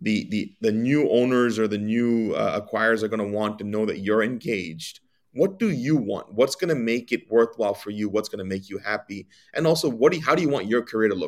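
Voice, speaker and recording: In a very clean recording with a silent background, a man uses a plain, everyday voice at medium pitch, moving at a fairly quick pace with ordinary pitch variation. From New Jersey. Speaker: investment banker. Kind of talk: interview.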